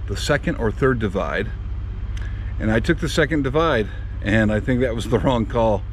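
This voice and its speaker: With noticeable background noise and audible room echo around him, a man speaks at a moderate speed. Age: 50s. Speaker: mountain bike vlogger. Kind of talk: post-ride vlog review. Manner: casual with fillers.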